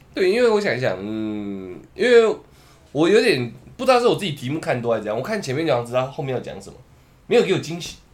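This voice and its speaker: Very fast and fairly high-pitched, this man's voice makes very wide pitch swings and big jumps in loudness. Audible room echo colors the recording. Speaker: podcast host. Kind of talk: casual chat. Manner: animated.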